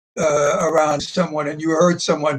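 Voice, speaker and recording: A man talks in a high pitch. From Belgium, Antwerp. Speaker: Holocaust survivor. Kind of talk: testimony. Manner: halting.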